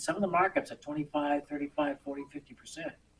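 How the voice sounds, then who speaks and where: Words come at a very fast pace. The voice is somewhat breathy. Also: man. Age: 70s. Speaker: waste industry businessman addressing town board. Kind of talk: public meeting presentation. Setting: town selectboard meeting.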